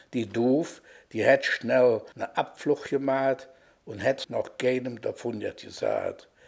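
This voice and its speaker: The speech moves at a very slow pace. It carries a Cologne accent. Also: man. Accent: Kölsch dialect. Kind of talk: dialect poetry reading.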